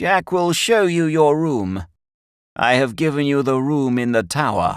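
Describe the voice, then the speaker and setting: A man's put-on character voice, fairly high in pitch, at a moderate pace with very wide pitch swings. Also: very clean recording, silent background. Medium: read story. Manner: formal, unvarying repetition.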